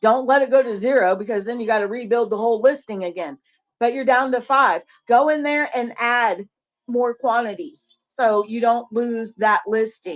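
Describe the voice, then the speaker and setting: A woman's fairly high voice with a strong Southern US accent, moderate in pace, with ordinary pitch variation. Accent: heavy Southern US. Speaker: online seller and live-stream host. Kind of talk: casual live-stream chat.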